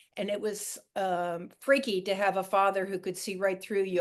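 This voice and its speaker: A woman with a plain, everyday voice, medium pitch and an American accent, at a moderate pace. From Long Island, New York (Montauk). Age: 60s. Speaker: fisherman's daughter, sailor. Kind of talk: podcast interview.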